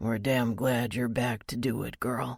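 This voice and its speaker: A man's growling, put-on character voice at medium pitch with monotone, flat intonation. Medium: read story. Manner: gruff, teasing.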